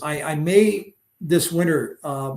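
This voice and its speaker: Pitched fairly high, the man's voice has a somewhat breathy quality. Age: 70s. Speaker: fishing angler. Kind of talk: podcast interview. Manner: halting with many fillers.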